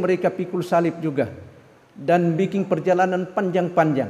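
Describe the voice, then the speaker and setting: A man's high-pitched voice at a moderate pace, with audible room echo. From Philippines, Davao. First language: Filipino language (speaking Indonesian). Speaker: missionary pastor. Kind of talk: sermon. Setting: church. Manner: halting, many fillers.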